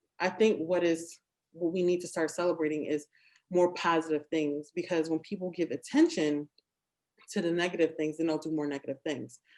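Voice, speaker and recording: With fairly even intonation, a woman talks at a fairly quick pace in a fairly low pitch. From Philadelphia, US. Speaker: interview show host. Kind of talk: casual interview conversation.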